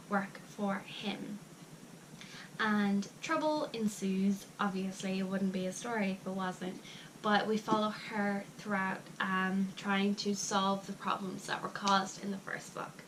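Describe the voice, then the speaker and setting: With an Irish accent, a woman speaks at a fairly slow pace and medium pitch. Her intonation is fairly even, and noticeable background noise can be heard. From Ireland. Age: young. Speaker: book reviewer. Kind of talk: casual talk to camera.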